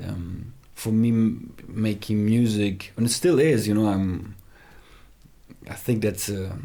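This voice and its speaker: The speech moves at a fairly slow pace with fairly even intonation. Room echo is audible. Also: man. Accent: non-native. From Germany, Heidelberg near Frankfurt. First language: German. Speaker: rapper. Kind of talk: casual interview chat. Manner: hesitant, many fillers and restarts.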